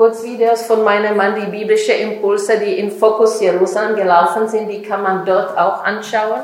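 A woman with a Czech accent speaks in a fairly high, monotone voice with flat intonation, amid noticeable background noise and audible room echo. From Czech Republic. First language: Czech (speaking German). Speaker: author and speaker. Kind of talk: lecture.

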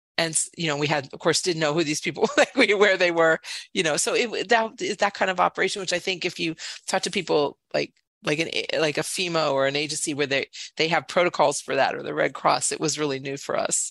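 A woman's normal speaking voice, fairly low in pitch and fairly quick, with ordinary pitch variation and a dry, close sound with no echo over a quiet background. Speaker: refugee resettlement nonprofit director. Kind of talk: interview. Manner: casual, rambling.

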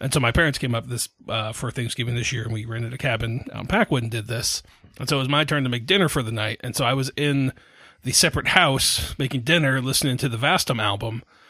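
Words come out very fast. The pitch varies in an ordinary way. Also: man, medium pitch for a man. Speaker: podcast host and tabletop roleplaying player. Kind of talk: casual chat. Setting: home recording, cat nearby. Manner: odd cadence in intro.

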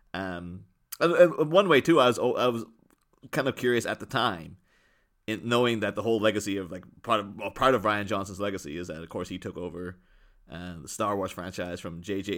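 A man at a fairly quick pace, with lively intonation and big swings in loudness, in a very clean recording with a silent background. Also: fairly low pitch for a man. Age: 30s. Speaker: film podcast guest. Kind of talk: casual chat. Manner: halting.

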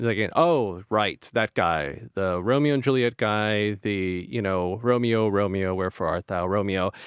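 An ordinary speaking voice at a fairly slow pace with hardly any pauses and ordinary pitch variation, in a very clean, dry, close recording with no echo and a silent background. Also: man, fairly low pitch for a man. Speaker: podcast host. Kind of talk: casual interview.

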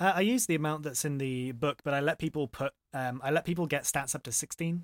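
A man with an unremarkable speaking voice talks at a fairly quick pace, fairly high in pitch with ordinary pitch variation, on a very clean recording with a silent background. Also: dry, close sound with no echo. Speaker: dungeon master. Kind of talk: casual chat.

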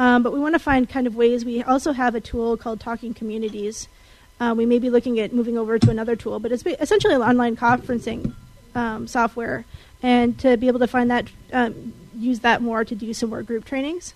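High female voice at a fairly quick pace, fairly even in intonation, with music in the background. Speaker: assistive technology trainer. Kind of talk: report to convention. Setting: conference room with audience. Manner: halting, many fillers.

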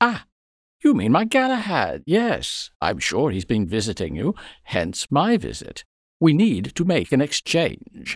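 Fairly high male voice with vocal fry, very wide pitch swings and a fairly slow pace. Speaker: actor playing a wizard. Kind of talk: scripted audio drama dialogue. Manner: grandiose, eccentric, theatrical.

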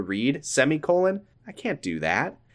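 A man's playful voice, fairly high-pitched, with vocal fry and very wide pitch swings, on a very clean recording with a silent background. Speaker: podcast host. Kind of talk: casual comedic banter, riffing and reading fiction aloud. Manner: playful, joking.

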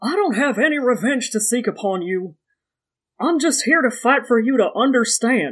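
A put-on character voice sits at a fairly high pitch and a moderate pace. The recording is very clean, with a silent background. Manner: grand, earnest.

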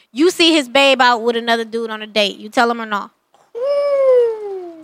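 A woman's high voice moves with lively intonation. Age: 30s. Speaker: podcast co-host. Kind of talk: casual chat. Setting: live stream.

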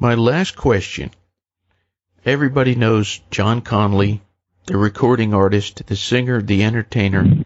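A man's normal speaking voice at medium pitch, with very even loudness, ordinary pitch variation and a moderate pace. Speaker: talk show host. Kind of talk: interview.

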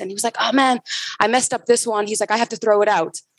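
The sound is dry and close with no echo as a woman talks with an American accent. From US West Coast, San Francisco Bay Area. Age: 20s. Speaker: bar industry brand ambassador. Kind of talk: casual interview.

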